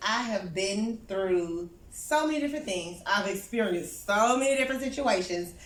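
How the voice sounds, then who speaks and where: At a moderate pace, a woman with a medium pitch speaks with lively intonation amid audible room echo. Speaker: therapist and speaker. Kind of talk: talk at a small networking event. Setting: small in-person event with audience. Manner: loud; animated.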